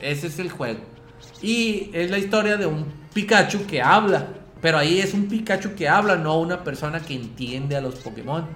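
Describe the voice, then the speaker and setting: A loud voice at a moderate pace with lively intonation, heard over noticeable background noise and audible room echo. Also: man, high pitch for a man. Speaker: podcast co-host. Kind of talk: casual chat.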